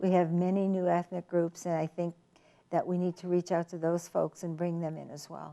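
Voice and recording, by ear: A woman speaks with vocal fry, her fairly low pitch barely moving and her tone dark and mellow. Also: moderate pace.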